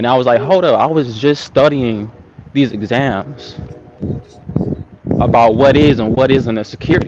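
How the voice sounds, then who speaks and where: Over noticeable background noise, a man at medium pitch speaks at a moderate pace with long, frequent pauses. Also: ordinary pitch variation. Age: young. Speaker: caller on a livestream. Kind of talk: casual chat.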